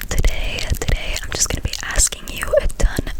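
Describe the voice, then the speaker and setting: Whispered speech comes fairly slowly, with noticeable background noise behind it. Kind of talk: ASMR trivia for sleep.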